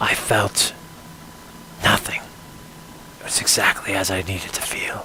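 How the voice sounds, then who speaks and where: A raspy, put-on character voice from a man, fairly low in pitch, at a moderate pace. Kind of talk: first-person story narration. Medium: role play. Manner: dark, brooding narration.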